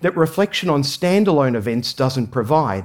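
In an Australian accent, a man with a fairly high voice sends his pitch through very wide swings. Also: very clean recording, silent background. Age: 40s. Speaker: management consultant and former priest. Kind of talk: talk to an audience.

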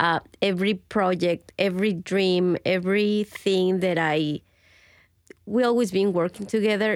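A woman with a plain, everyday voice speaks at a medium pitch with fairly even intonation and a fairly slow pace. The sound is dry and close with no echo, in a very clean recording with a silent background. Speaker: chef and restaurant owner. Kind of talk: interview and kitchen tour. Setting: in a restaurant kitchen.

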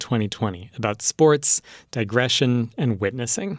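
A man talks at a moderate pace, his pitch medium with lively intonation. It is a normal speaking voice. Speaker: radio host. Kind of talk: scripted radio hosting. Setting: studio. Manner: clear and measured.

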